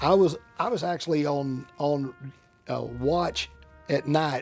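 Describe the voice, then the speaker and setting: Over music in the background, a man with an American accent speaks at a fairly high pitch. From Central Texas. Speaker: Vietnam War veteran, attorney. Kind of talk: interview answer.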